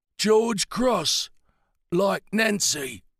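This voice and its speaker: A man uses a raspy, high-pitched put-on character voice, recorded dry and close with no echo. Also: ordinary pitch variation. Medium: read story. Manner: halting, fragmented phrases.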